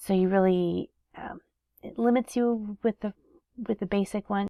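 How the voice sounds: A woman's medium-pitched, dark, mellow voice at a fairly slow pace, with fairly even intonation and a dry, close sound with no echo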